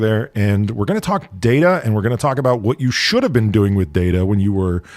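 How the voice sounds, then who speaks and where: Speaking with an American accent, a man talks at a fairly quick pace with fairly low pitch and lively intonation. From United States. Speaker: podcast host. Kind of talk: casual interview. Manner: animated.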